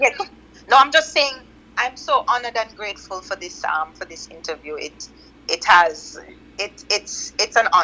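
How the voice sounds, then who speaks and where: With a Jamaican accent, a woman speaks at a moderate pace in a fairly high pitch, her bright, sharp tone marked by very wide pitch swings and big swings in loudness. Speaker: loc stylist. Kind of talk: interview.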